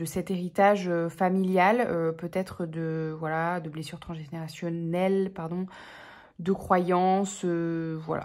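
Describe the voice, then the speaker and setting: On a very clean recording with a silent background, a woman speaks at a very slow pace with fairly low pitch and fairly even intonation. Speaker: tarot reader. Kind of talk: tarot reading monologue. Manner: hesitant, many fillers.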